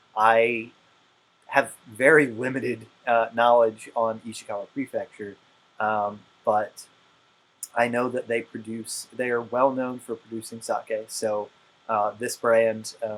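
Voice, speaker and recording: A man's medium-pitched, monotone, flat delivery at a very slow pace with long, frequent pauses. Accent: Appalachian. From West Virginia. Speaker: co-host. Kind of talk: casual chat. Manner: halting, many fillers.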